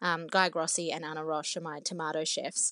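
A woman speaks with an Australian accent at a fairly low pitch. Her intonation is fairly even, and the background is quiet. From former Soviet Union, raised in Australia. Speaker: cookbook author. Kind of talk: interview.

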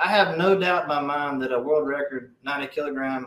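A man with an Alabama accent talks at a fairly quick pace, his fairly high pitch showing ordinary variation. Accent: Southern US (Alabama). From US South. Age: 30s. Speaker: strongman athlete. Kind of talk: casual chat.

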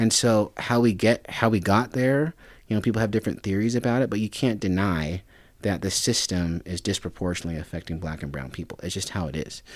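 In a very clean recording with a silent background, a man speaks in an unremarkable speaking voice with fairly low pitch. His intonation is lively and his pace fairly quick. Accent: American. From Reno, Nevada. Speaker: lawyer and political advisor. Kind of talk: casual chat. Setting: studio.

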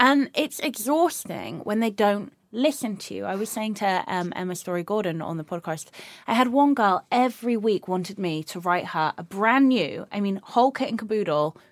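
Against a silent background in a very clean recording, a woman speaks at a moderate pace with lively intonation. Hers is a plain, everyday voice of medium pitch. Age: 30s. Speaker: podcast host and personal trainer. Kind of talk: casual chat.

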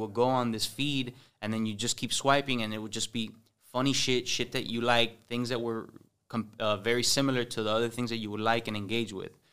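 A man speaks with a Cuban accent at a fairly quick pace. His medium pitch stays monotone and flat. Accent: sounds Cuban (Miami Cuban English). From Miami, Cuban-American (Westchester/Hialeah). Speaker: comedy social media influencer. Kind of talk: casual chat.

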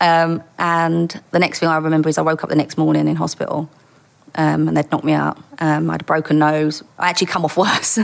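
A woman with a Cockney accent, at very even loudness. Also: fairly quick pace. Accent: London (Essex-edge Cockney). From East London. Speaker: former undercover police officer. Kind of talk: casual interview. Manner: nervous.

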